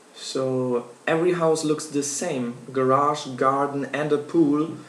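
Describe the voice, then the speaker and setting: Over noticeable background noise and audible room echo, a man with a German accent speaks very slowly in a fairly high, flat monotone. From Germany. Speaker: university student. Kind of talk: class speech. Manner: halting.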